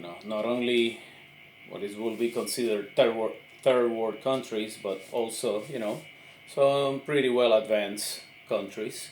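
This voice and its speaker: Amid audible room echo, a man at a medium pitch talks at a fairly slow pace with fairly even intonation and big swings in loudness. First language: Spanish. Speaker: army veteran, political commentator. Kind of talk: impromptu monologue. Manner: halting, many fillers.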